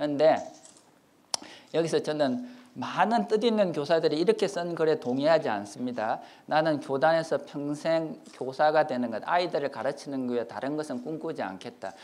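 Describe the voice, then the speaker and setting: A man speaks with an ordinary speaking voice at a fairly high pitch. His intonation is lively. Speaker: professor. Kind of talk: lecture. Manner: fast.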